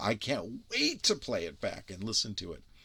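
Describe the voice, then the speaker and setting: At a moderate pace, a man speaks with vocal fry in a very clean recording against a silent background. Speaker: YouTuber demonstrating DIY microphone. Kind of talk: casual demo video. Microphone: binaural microphone rig, very close to ear.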